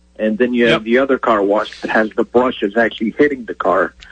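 A man speaks in a normal speaking voice with an American accent, at a medium pitch with ordinary pitch variation. The sound is dry and close, with no echo. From Connecticut. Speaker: caller. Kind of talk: call-in question. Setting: phone call.

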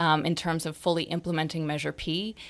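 A woman with an unremarkable speaking voice and an American accent, on a very clean recording with a silent background. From Sonoma County, California. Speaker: activist volunteer. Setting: studio.

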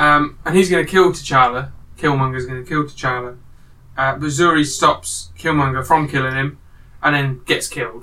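At a moderate pace, a man talks with ordinary pitch variation. His pitch sits fairly high. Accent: British. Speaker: podcast host. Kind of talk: casual chat.

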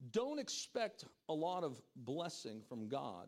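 With very wide pitch swings, a man speaks in an animated tone. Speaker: pastor. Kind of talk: sermon. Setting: church stage with congregation. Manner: loud.

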